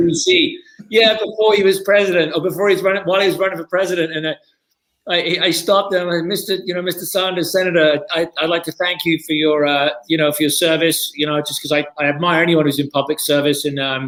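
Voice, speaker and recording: A man speaks very fast in a British accent, his pitch high and his intonation fairly even. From Britain. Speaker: TV pitchman; hemp farmer. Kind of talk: interview answer.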